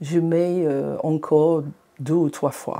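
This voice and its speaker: In a non-native accent, a woman with a fairly low pitch and a dark, mellow tone speaks at a very slow pace with ordinary pitch variation. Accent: foreign accent in French. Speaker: eye patient. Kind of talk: patient testimony podcast. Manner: hesitant, conversational.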